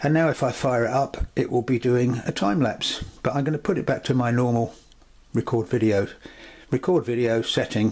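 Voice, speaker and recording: This man has an unremarkable speaking voice at a medium pitch with ordinary pitch variation. His pace is moderate. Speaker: camera reviewer. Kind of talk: tutorial.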